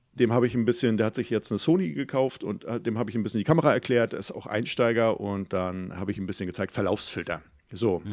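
A man speaks at a very fast pace at a medium pitch, recorded very cleanly against a silent background. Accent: Mecklenburg. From Mecklenburg, northeastern Germany (near Güstrow). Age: 40s. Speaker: photographer and YouTuber. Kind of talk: casual interview.

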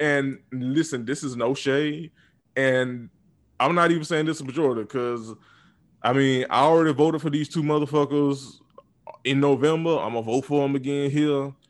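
A man speaks with a normal speaking voice, fairly high in pitch, at a moderate pace. His intonation stays fairly even against a quiet background. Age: 20s. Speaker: podcast co-host. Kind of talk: casual chat.

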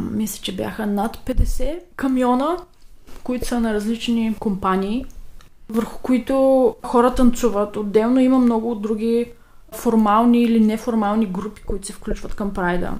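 At a fairly slow pace, a woman uses a normal speaking voice, fairly high in pitch, with fairly even intonation. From Bulgaria. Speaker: emigrant interviewee. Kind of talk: recorded interview answers.

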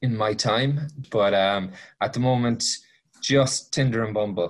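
A man with a rural Irish accent at medium pitch, speaking at a fairly slow pace. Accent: Irish country. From Ireland, County Mayo. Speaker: podcast guest, single man on dating apps. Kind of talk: casual interview chat.

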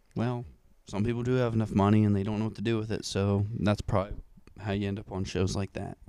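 A soft-spoken man at a very fast pace, fairly low in pitch, with monotone, flat intonation. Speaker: podcast co-host. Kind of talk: casual chat.

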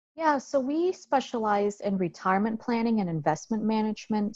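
A woman speaks at a moderate pace in a fairly high, somewhat breathy voice. Her intonation is lively over a quiet background. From Vietnam. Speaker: financial planner. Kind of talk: interview.

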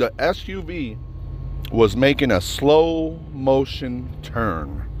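A man's voice with noticeable background noise. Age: 30s. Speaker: podcast host. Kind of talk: casual storytelling monologue. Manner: animated.

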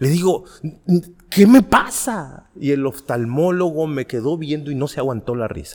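Speaking at a fairly slow pace, a man with a fairly high pitch uses lively intonation in an unremarkable speaking voice. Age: 40s. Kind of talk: podcast interview.

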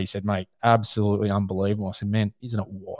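A man at a very fast pace with an Australian accent, fairly low in pitch and monotone in intonation, in a dry, close sound with no echo and a very clean recording over a silent background. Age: 40s. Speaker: hunting podcast host. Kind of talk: casual chat.

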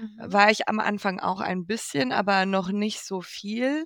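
A woman's medium-pitched voice at a very slow pace, very cleanly recorded against a silent background, dry and close with no echo. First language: not German (speaking German). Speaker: podcast co-host and producer. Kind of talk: casual chat.

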